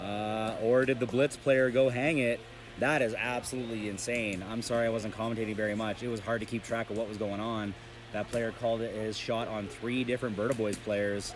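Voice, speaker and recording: This man speaks at a fairly quick pace. His pitch is medium, and there is noticeable background noise. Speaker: paintball commentator. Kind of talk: live commentary. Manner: animated.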